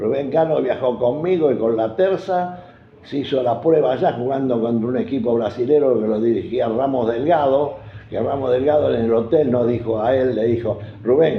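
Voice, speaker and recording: At a moderate pace, a man speaks with a medium pitch and ordinary pitch variation, and room echo is audible. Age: 80s+. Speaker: football club veteran supporter. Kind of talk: interview storytelling.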